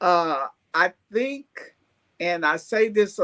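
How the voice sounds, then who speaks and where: Recorded dry and close with no echo, a woman with an American accent speaks at medium pitch. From US Midwest (East St. Louis, Illinois). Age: 70s. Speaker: retired teacher and survivor. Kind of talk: podcast interview.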